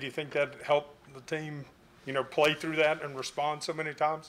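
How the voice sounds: With a fairly high pitch and little pitch movement, a man speaks at a fairly quick pace. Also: fairly bright tone.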